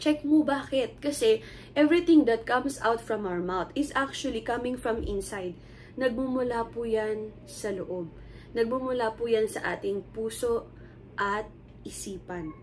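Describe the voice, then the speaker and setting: Speaking at a fairly slow pace, a woman uses a normal speaking voice, fairly high in pitch, with ordinary pitch variation. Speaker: lay preacher. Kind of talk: sermon. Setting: recorded video shown to church. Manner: casual code-switching Taglish with fillers.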